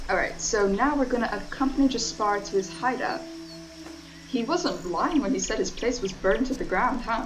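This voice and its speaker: The speaker talks at a moderate pace with lively intonation. Music plays in the background, and the room echo is audible. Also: woman, fairly high pitch for a woman. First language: not English (English is third language). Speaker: streamer. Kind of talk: casual chat. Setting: live stream. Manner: relaxed.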